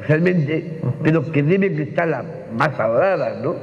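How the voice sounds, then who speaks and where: Speaking in an Andalusian accent, a man talks at a fairly slow pace with ordinary pitch variation. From Málaga, Spain. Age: 40s. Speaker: actor, lecturer and teacher. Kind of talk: public talk answer. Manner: effusive, outspoken. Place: stage. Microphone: lapel.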